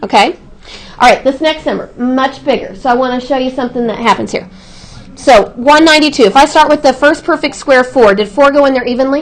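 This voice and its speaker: A woman speaks loudly and fairly quickly at a high pitch with ordinary pitch variation, over noticeable background noise. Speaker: math teacher. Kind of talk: classroom lesson. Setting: classroom. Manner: projecting voice.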